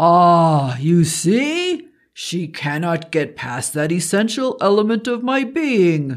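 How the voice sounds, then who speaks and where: A man puts on a character voice with a high pitch. He goes very slowly, with hardly any pauses. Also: very clean recording, silent background. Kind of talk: archaic formal speech. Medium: read story. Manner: wry, amused, commanding.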